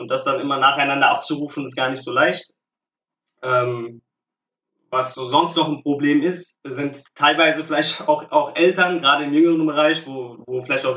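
At a moderate pace, a man speaks with fairly even intonation at a fairly high pitch. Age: 30s. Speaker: youth football coach. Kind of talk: interview. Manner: halting, many filler sounds.

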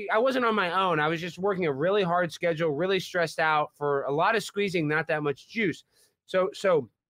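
Against a quiet background, a man with an American accent and a high pitch talks at a fairly quick pace, with ordinary pitch variation and a dry, close sound with no echo. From Texas. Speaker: comedian and prankster. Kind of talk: casual chat. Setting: podcast interview.

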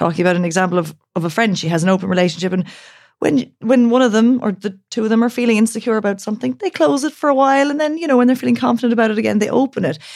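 A fairly high-pitched woman in an Irish accent, very wide pitch swings and a very fast pace. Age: 30s. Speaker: author. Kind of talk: casual chat.

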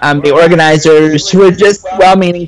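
Noticeable background noise sits behind a man talking at a very fast pace. His pitch is fairly high. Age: 30s. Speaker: spoken word poet and sex educator. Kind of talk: casual interview chat.

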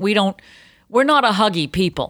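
A woman with a Boston accent talks at a moderate pace on a very clean recording with a silent background. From Boston area. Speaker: podcast co-host. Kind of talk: casual chat. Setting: home recording room.

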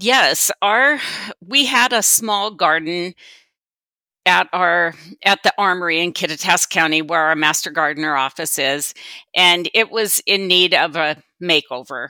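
A woman with an American accent speaks with lively intonation in a very clean recording with a silent background, the sound dry and close with no echo. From western Washington, US. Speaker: master gardener volunteer. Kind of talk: interview answers. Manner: halting.

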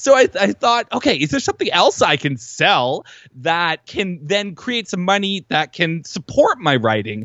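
This is a man's voice. His pitch swings very widely. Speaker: writing coach and author. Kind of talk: casual interview chat. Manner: animated, self-described spaz.

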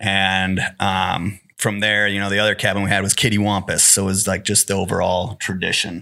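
A man with a Wisconsin accent talks at a fairly quick pace with hardly any pauses, his fairly low voice bright and sharp in tone. His intonation stays monotone and flat. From Wisconsin, Northwoods. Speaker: hunter. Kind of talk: casual chat.

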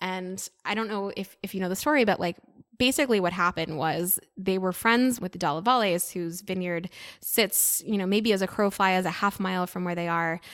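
A woman's normal speaking voice with an American accent, at a medium pitch and fairly quick pace, with ordinary pitch variation, very cleanly recorded against a silent background. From US. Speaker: sommelier and wine content creator. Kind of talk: casual interview chat.

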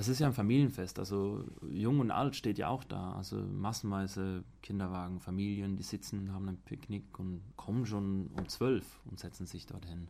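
A man's dark, mellow voice, fairly low in pitch, at a moderate pace with ordinary pitch variation. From Switzerland. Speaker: student. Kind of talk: casual chat. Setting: outdoors.

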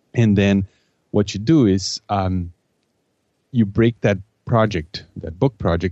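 This man speaks with a non-native accent at a fairly low pitch. His pace is fairly slow, with ordinary pitch variation. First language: not English. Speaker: project manager and author. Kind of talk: podcast interview. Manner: halting, many repeated words.

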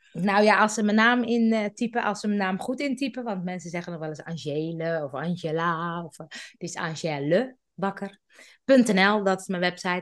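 A woman with an unremarkable speaking voice of medium pitch, against a quiet background. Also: ordinary pitch variation, moderate pace. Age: 50s. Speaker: podcast expert. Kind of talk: casual interview.

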